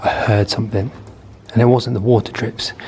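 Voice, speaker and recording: Someone talks very fast, with noticeable noise in the background. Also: man. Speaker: YouTuber exploring abandoned places. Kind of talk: vlog commentary while exploring. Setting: underground car park. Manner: animated, repetitive exclamations.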